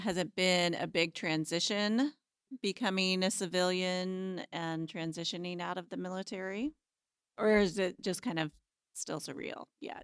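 A woman with an American accent and an ordinary speaking voice, medium pitch, ordinary pitch variation and fairly slow pace, in a dry, close sound with no echo. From US Midwest, Kansas. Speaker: librarian and podcast host. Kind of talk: casual chat.

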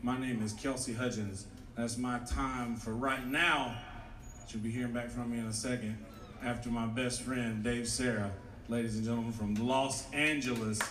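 The voice holds a monotone, flat intonation at a moderate pace, with noticeable background noise and audible room echo. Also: man, medium pitch for a man. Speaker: comedian and show emcee. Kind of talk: stand-up. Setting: stage with audience.

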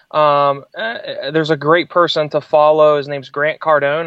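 A man speaks at a fairly high pitch with fairly even intonation over a quiet background. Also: dry, close sound with no echo. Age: 20s. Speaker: entrepreneur and public speaker. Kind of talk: interview. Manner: hesitant fillers.

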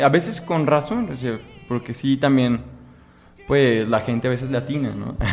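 With a Jalisco accent, a man talks at a moderate pace in a fairly high pitch over noticeable background noise. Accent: Mexican Spanish, Jalisco. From Mexico, Guadalajara (Jalisco). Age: 20s. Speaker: law student. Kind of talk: interview.

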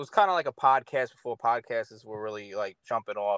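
A man with a New York accent at a moderate pace, lively intonation, dry, close sound with no echo. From Long Island, New York. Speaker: rapper and producer. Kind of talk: casual interview. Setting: on tour in New Jersey.

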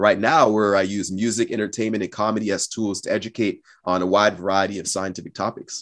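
An unremarkable speaking voice with an American accent moves at a fairly quick pace. The intonation stays fairly even. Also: man. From Cameroon and US Pacific Northwest. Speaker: science communicator and engineer. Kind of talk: interview. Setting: call.

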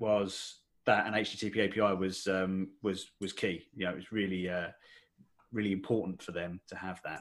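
A man's very deep, low voice in an Essex accent, with monotone, flat intonation and big swings in loudness. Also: moderate pace. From Essex, England. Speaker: software developer, head of technology. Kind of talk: podcast interview. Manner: hesitant, many fillers.

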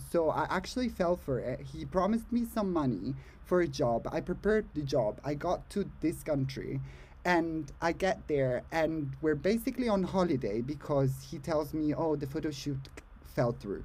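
The voice is somewhat breathy, with lively intonation at a moderate pace. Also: man, fairly high pitch for a man. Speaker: podcast co-host. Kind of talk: casual chat. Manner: animated.

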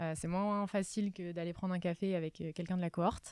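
The recording is very clean, with a silent background. A woman speaks in a fairly low voice with fairly even intonation. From southern France (Var). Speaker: startup founder, former genetics researcher. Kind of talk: casual interview.

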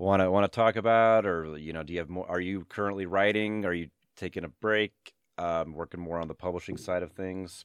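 A man with an American accent talks at a fairly quick pace in a very deep, low pitch with ordinary pitch variation. The background is quiet, and the sound is dry and close with no echo. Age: 40s. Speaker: podcast host and high school teacher. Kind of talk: casual interview. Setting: remote call. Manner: halting, many fillers.

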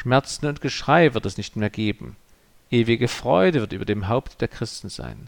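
Solemn in tone, the voice has vocal fry, ordinary pitch variation and a moderate pace, recorded with a dry, close sound and no echo. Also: man. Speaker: pastor. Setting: church. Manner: formal, measured and earnest, with a solemn pastoral tone.

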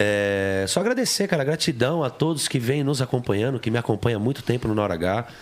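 A man with an ordinary speaking voice, medium pitch, lively intonation and a fairly quick pace. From São Paulo, East Zone. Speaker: pagode singer. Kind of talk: casual chat.

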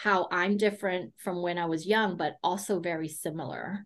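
A woman's plain, everyday voice at a medium pitch and moderate pace, with ordinary pitch variation, an American accent and a quiet background. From United States. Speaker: business consultant and coach. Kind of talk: interview.

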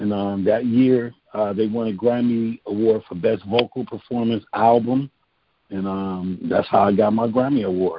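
A man speaks in an unremarkable speaking voice at a medium pitch. His intonation stays fairly even at a moderate pace. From Cleveland, Ohio. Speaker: songwriter and singer. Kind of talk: interview.

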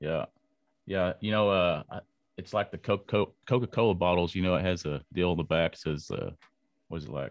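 A man with a West Texas accent, very deep and low in pitch, at a moderate pace with long, frequent pauses and ordinary pitch variation. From Lubbock, Texas. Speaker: podcast host. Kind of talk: interview. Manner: halting, many fillers.

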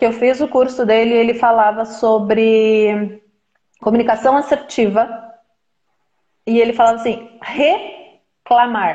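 Her intonation remains fairly even. The woman's voice is pitched fairly high. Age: 40s. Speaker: therapist. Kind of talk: casual chat. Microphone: unstable connection, video freezing.

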